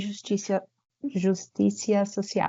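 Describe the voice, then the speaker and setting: A woman with a Brazilian accent at a very slow pace. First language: Portuguese (speaking Spanish). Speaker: university professor. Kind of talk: presentation at an online forum. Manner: halting, with fillers.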